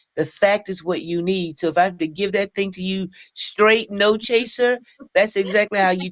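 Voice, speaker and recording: A woman's medium-pitched, a plain, everyday voice at a moderate pace, with ordinary pitch variation and a dry, close sound with no echo. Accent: American. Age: 60s. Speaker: army veteran, nonprofit founder. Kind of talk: interview.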